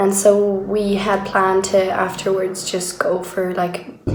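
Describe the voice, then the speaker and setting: A woman talks at a medium pitch with fairly even intonation, with audible room echo and noticeable background noise around her. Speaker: video diarist. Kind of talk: personal video diary.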